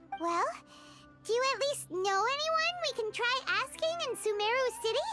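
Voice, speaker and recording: Set against clear music in the background, a put-on character voice speaks at a moderate pace. It is squeaky and extremely high-pitched. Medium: video game. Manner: eager, bubbly.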